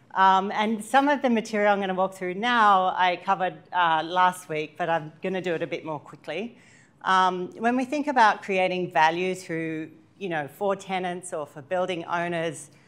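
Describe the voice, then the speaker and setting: An Australian accent marks this woman's medium-pitched voice, with ordinary pitch variation. She talks at a moderate pace over a quiet background. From Australia, Sydney. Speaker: workshop presenter, sustainability consultant. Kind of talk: training workshop presentation.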